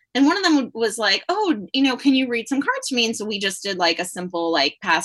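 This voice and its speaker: Speaking at a moderate pace, a woman uses a fairly high pitch, a bright, sharp tone, and very wide pitch swings. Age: 50s. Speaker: tarot reader and middle school teacher. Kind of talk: casual interview chat.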